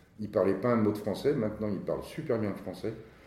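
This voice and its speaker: A man talks with a dark, mellow tone, and audible echo fills the room. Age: 60s. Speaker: company director. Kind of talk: interview. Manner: halting.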